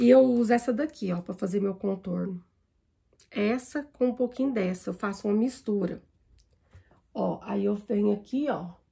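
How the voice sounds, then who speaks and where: A woman speaks at a moderate pace with a dark, mellow tone that is somewhat breathy. She pauses often and at length. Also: medium pitch for a woman, ordinary pitch variation. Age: 40s. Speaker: makeup vlogger. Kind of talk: makeup tutorial. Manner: casual, chatty.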